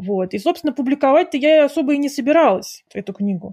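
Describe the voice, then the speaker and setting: A woman's dark, mellow tone at a fairly quick pace, lively intonation and a dry, close sound with no echo. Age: 40s. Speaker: author and book publisher. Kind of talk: interview.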